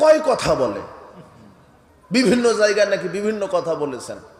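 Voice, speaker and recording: Over noticeable background noise, a man speaks in a passionate tone. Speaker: Islamic preacher. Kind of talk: Islamic sermon (waz) delivered to a live audience. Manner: fiery, passionate, rhetorical.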